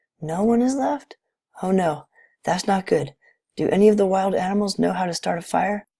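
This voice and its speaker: A put-on character voice, raspy and at middle pitch, speaks at a moderate pace. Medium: read story. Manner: gentle, motherly.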